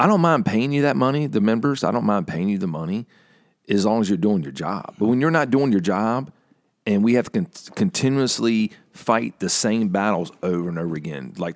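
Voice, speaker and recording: Using a normal speaking voice, a man talks fairly quickly at a fairly low pitch with lively intonation, in a very clean recording with a silent background. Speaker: co-host. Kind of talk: casual banter.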